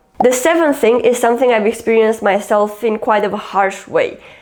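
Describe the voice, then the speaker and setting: A woman with a fairly high-pitched voice talks using ordinary pitch variation. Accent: Romanian. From Romania. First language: Romanian. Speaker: YouTuber. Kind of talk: casual vlog talk.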